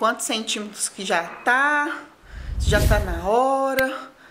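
A woman with ordinary pitch variation over light background noise. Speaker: pregnant vlogger. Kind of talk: casual vlog chat. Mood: calm but uncomfortable, in labor. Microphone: phone near.

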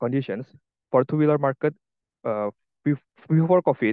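A man speaks in a fairly high pitch with an Indonesian accent. His pitch varies in an ordinary way. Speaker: EV engineer. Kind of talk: presentation. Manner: halting.

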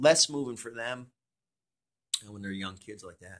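Lively intonation marks this man's speech in an American accent. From Connecticut. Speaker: radio DJ and program director. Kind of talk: interview answer. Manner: casual, relaxed.

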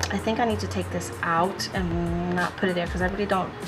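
Clear music fills the background. A woman talks over it. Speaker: planner decorating vlogger. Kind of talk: casual vlog chat.

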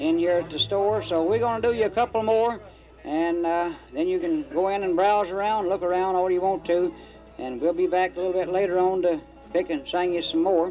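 A fairly quick pace with ordinary pitch variation over faint music in the background. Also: man, high pitch for a man. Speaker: band leader emcee. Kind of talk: stage announcement. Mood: friendly, folksy. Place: street.

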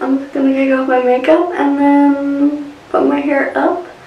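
A woman's high-pitched voice with audible room echo. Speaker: beauty vlogger. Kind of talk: casual vlog chat. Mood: relaxed, cheerful. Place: home room. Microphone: phone near.

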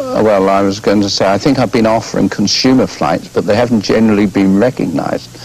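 A man's fairly low voice at a fairly quick pace, with ordinary pitch variation and an ordinary speaking voice. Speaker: guest. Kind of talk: interview answer. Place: studio.

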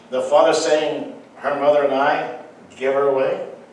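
The pace is moderate as a man talks. Audible room echo and light background noise are present. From French-speaking background. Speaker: pastor. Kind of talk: sermon. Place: church.

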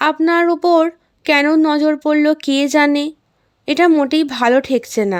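A woman puts on a shaky, high-pitched character voice at a moderate pace, with very even loudness in a very clean recording with a silent background.

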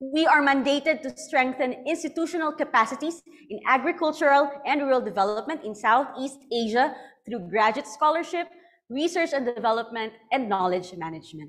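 Speaking at a fairly quick pace with lively intonation, a woman with a Filipino accent uses a high pitch against a quiet background. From Philippines. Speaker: event host. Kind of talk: event hosting. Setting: online event. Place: studio.

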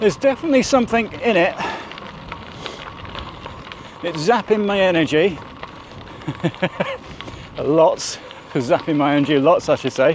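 The intonation is lively and the pace moderate, with long, frequent pauses, a dry sound with no echo, and light background noise. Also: man, high pitch for a man. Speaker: cycling vlogger. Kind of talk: casual vlog chat. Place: bicycle.

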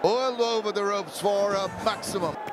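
Noticeable noise sits in the background as a man talks, his pitch varying by an ordinary amount. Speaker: cricket commentator. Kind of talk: live sports commentary.

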